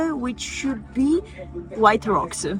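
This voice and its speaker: Music plays in the background as a woman with a non-native accent speaks very slowly at a fairly high pitch. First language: not English. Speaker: travel vlogger. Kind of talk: vlog narration. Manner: hesitant, many fillers.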